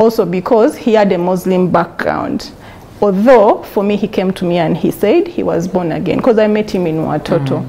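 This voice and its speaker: A woman with a Ugandan accent speaks at a medium pitch and a moderate pace, with ordinary pitch variation. Noticeable background noise can be heard. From Uganda, Kampala. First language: Luganda. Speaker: interview guest sharing life story. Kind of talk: testimony.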